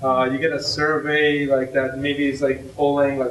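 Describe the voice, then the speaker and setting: A man speaks in a flat monotone at a fairly high pitch, with audible room echo and noticeable background noise. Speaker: ITP alumnus pitching a hackathon project. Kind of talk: informal project pitch. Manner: halting, many fillers.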